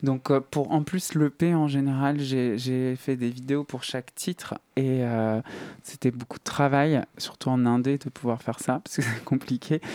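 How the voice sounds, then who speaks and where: With a dark, mellow tone, a man speaks at a fairly slow pace and medium pitch, his intonation fairly even and the sound dry and close with no echo. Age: 30s. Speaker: singer. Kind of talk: interview. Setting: studio.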